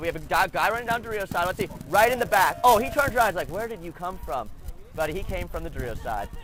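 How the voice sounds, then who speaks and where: A loud man speaks in an animated tone with ordinary pitch variation. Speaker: paintball commentator. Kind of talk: live commentary.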